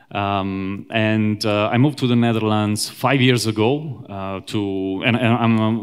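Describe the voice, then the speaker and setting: In an Italian accent, a man speaks at fairly low pitch. His pace is fairly slow, his intonation fairly even, and the recording very clean with a silent background. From Italy, Rome. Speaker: software engineer, conference speaker. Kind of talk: conference talk. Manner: hesitant, many fillers.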